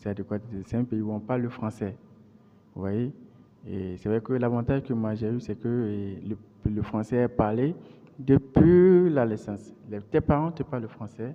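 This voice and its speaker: With a Beninese accent, a man talks at a fairly slow pace. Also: medium pitch for a man, ordinary pitch variation. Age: 30s. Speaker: interviewee, computer science graduate. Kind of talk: interview. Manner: halting, frequent repetitions.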